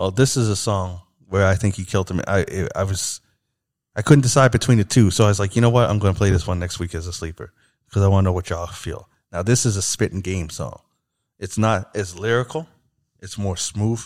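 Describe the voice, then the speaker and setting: On a very clean recording with a silent background, a man with a normal speaking voice talks at a fairly low pitch and a fairly quick pace, with ordinary pitch variation. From Canada. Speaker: podcast host. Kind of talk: casual chat.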